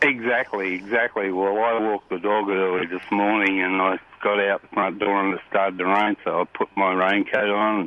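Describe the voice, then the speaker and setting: In an Australian accent, a man with a fairly low voice speaks at a moderate pace in a flat monotone, hardly pausing. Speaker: bait and tackle shop owner. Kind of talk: casual chat, fishing report. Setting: phone call.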